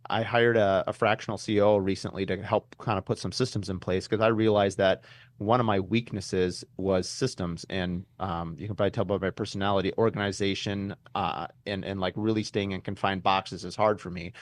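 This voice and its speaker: Fairly quick speech from a man at a fairly low pitch, against a quiet background. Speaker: custom home builder and podcast host. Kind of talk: podcast interview. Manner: fast; animated.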